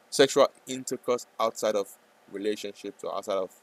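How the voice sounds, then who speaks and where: A man with a non-native accent talks at a moderate pace in a dry, close sound with no echo. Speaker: day trader streamer. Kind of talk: live trading stream chat. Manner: hesitant, repetitive.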